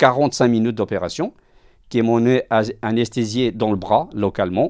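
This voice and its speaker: A very clean recording with a silent background carries a dark, mellow tone. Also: man. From Portugal. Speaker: self-employed worker, hospital patient. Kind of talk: interview testimony. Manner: halting, repeats words.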